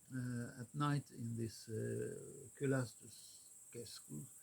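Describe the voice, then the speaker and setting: Speech with a Swedish accent comes at a very slow pace. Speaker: vlogger. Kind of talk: casual vlog monologue. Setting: in a car. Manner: halting, many fillers.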